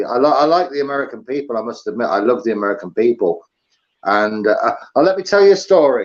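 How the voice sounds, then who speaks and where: Speaking at a fairly quick pace, a man with an English accent uses lively intonation at a medium pitch. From England. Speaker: livestream host. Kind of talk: casual chat. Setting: live stream with video call guest. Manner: hesitant, many ums and uhs.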